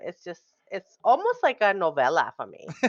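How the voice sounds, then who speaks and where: A woman with a strong Rhode Island accent talks at a fairly quick pace in an animated tone. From Rhode Island, New England. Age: 30s. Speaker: pharmacy technician, streamer. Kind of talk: casual podcast chat.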